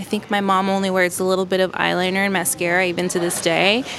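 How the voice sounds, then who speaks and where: An American-accented woman talks at a medium pitch and a fairly quick pace. Her intonation stays fairly even, and there is noticeable background noise. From Los Angeles, US. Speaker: makeup artist. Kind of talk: interview. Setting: in a store.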